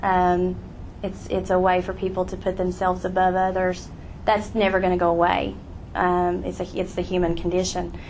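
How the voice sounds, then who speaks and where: A woman with an American accent speaks in a monotone, flat intonation, with audible room echo. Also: medium pitch for a woman, moderate pace. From southwestern Virginia, Appalachia. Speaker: author and teacher. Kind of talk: audience Q&A. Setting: live event with audience.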